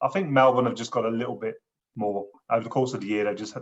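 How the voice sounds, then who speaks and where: A very fast pace in a southeast English accent, with fairly even intonation. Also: man. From southeast England. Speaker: gambling support counsellor. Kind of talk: casual chat.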